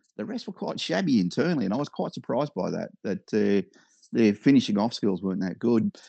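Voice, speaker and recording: With an Australian accent, the speaker talks at a fairly quick pace with lively intonation, the sound dry and close with no echo against a quiet background. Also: man, medium pitch for a man. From Victoria, Australia. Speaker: hobby businessman and aerobatic model pilot. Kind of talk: casual interview.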